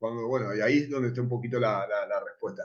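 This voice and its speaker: A man talks with his voice at a medium pitch. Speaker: film festival director. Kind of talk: panel discussion. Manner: fast.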